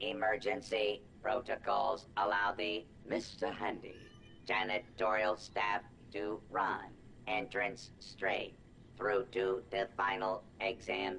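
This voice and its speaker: The voice is a put-on character voice with a low pitch. Background noise is clearly audible. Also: fairly slow pace. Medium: video game. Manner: formal, stiff, condescending.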